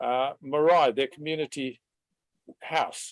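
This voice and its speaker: A fairly slow delivery in a New Zealand accent. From New Zealand, countryside. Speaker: webinar participant. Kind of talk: personal story in online discussion.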